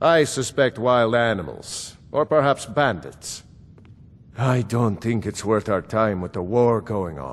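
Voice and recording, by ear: A man speaks slowly in a put-on character voice, his fairly low pitch making big swings.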